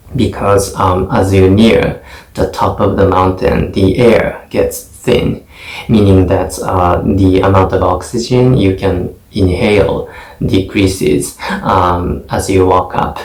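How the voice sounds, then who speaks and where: A man's very slow, fairly low speech with a Japanese accent and fairly even intonation, over noticeable background noise. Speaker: English test taker. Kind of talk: mock exam speaking answer. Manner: hesitant, many fillers.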